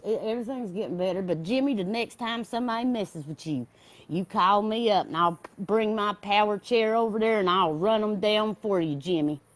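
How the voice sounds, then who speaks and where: In a Southern US accent, a woman with a medium pitch talks at a fairly quick pace with ordinary pitch variation, recorded very cleanly over a silent background. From US South, North Carolina foothills. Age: 30s. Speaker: caller to recovery livestream. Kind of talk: casual chat.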